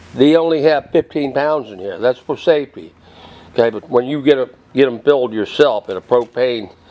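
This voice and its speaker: Over noticeable background noise, a man talks at a moderate pace with ordinary pitch variation. His loudness swings widely. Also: medium pitch for a man. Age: 70s. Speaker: cooking video creator. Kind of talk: product demonstration. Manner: casual, rambling with fillers.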